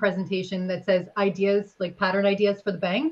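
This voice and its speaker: At a moderate pace, a woman speaks with a medium pitch. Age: 30s. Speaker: horse blanket company representative; guest. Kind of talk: live stream product talk. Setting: live video stream. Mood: friendly, chatty. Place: home room. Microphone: headset.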